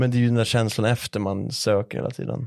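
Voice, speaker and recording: Over a quiet background, a man talks fairly quickly in a fairly low pitch with fairly even intonation, the sound dry and close with no echo. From Sweden, Stockholm/Uppsala/Dalarna. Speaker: podcast guest, influencer. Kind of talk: casual chat. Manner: halting, repeats words.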